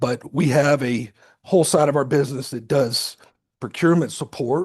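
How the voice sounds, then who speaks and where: A man speaks at a moderate pace with a fairly high pitch and a somewhat breathy voice. His intonation is fairly even, and the background is quiet. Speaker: business owner, retired Air Force officer, guest lecturer. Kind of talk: guest lecture. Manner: conversational, informal.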